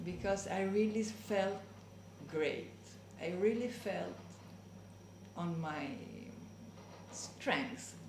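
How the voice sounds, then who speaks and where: Over noticeable background noise, a woman speaks at a very slow pace with long, frequent pauses, her medium pitch showing ordinary pitch variation. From Spain and Italy. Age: 60s. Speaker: mature master's student. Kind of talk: interview answer.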